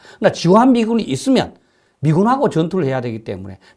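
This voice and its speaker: A man with a high pitch speaks with very wide pitch swings over a quiet background. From South Korea. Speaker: professor of political science and defense expert; professor of political science. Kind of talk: interview. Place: studio. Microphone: lapel.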